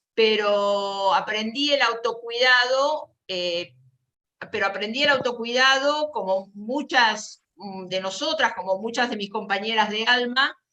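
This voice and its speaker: Very slowly, a woman speaks in a fairly high voice with ordinary pitch variation. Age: 60s. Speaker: caregiver volunteer. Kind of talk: panel talk. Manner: halting.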